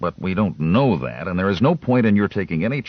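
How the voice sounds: A natural reading voice carries lively intonation.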